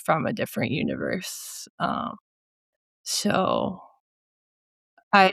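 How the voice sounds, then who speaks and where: A woman speaks with a Minnesotan accent at a fairly low pitch. The recording is very clean, with a silent background. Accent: Minnesota. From US Midwest, central Minnesota. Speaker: painter. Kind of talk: interview conversation. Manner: halting, many fillers.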